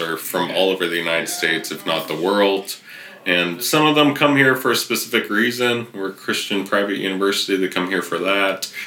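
With a Californian accent, a man with a fairly low voice talks at a fairly quick pace and ordinary pitch variation amid noticeable background noise. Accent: Californian American. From US West Coast, Riverside, California. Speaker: photography professor. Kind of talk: casual interview chat. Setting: guest's campus office.

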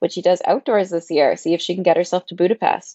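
This is a woman speaking. She has a Canadian accent. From Pembroke, Ontario. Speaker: running journalist and runner. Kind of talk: casual chat.

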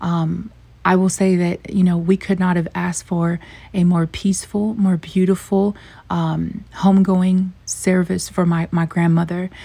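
Her voice is somewhat breathy and dark, mellow in tone, with medium pitch and a monotone, flat intonation. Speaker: podcast host. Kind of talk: casual monologue.

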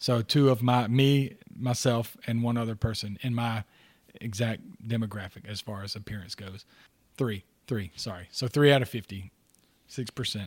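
A man with a plain, everyday voice speaks at a medium pitch and a moderate pace, with fairly even intonation. His loudness swings widely in a very clean recording with a silent background. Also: dry, close sound with no echo. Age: 40s. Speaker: podcast co-host. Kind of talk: casual chat.

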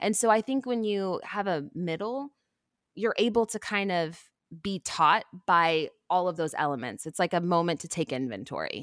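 Over a very clean recording with a silent background, a woman in a plain, everyday voice speaks at a moderate pace with a medium pitch and lively intonation. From Texas (Houston). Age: 30s. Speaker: TV shopping host and athlete. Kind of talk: interview conversation.

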